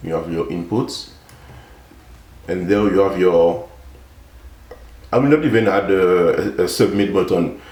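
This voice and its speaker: Speaking with a non-native accent at a fairly slow pace, the voice has ordinary pitch variation and long, frequent pauses, with audible room echo. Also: man. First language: not English. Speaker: software developer, tutorial YouTuber. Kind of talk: tutorial. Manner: halting, many fillers.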